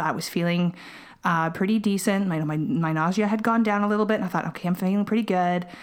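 In an ordinary speaking voice, a woman speaks at a medium pitch with ordinary pitch variation. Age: 30s. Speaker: mother sharing pregnancy loss story. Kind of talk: testimony.

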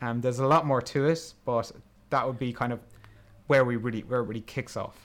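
An ordinary speaking voice from a man, medium in pitch, fairly quick, with fairly even intonation. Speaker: film podcast host. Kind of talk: casual chat, film retrospective.

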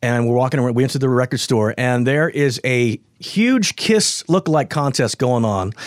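A man's unremarkable speaking voice at a medium pitch, with ordinary pitch variation, very even loudness, hardly any pauses and a dry, close sound with no echo. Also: moderate pace. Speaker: radio host. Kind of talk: casual chat.

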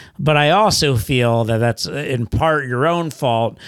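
A man speaks at a medium pitch with lively intonation. The recording is very clean, with a silent background. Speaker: podcast host and comedian. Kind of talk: casual chat. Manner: loud talker.

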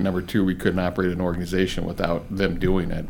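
A man with a very deep, low voice talks at a fairly quick pace. Noticeable background noise and audible room echo surround him. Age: 50s. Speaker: bank executive and podcast host. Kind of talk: interview.

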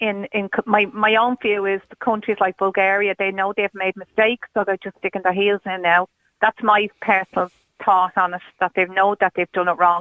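A woman with an Irish accent, a medium pitch and a monotone, flat intonation, at a moderate pace. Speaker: caller, mother of stranded supporter. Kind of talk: radio phone-in interview. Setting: phone call.

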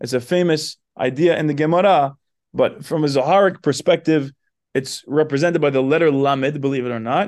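Over a quiet background, a man with a fairly high pitch speaks at a fairly quick pace with ordinary pitch variation. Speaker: spiritual teacher. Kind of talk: lecture.

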